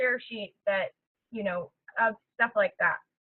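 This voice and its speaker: A plain, everyday voice from a woman, fairly high-pitched and at a moderate pace. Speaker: fitness business coach. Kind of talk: webinar training talk. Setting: webinar call. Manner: casual, filler-heavy.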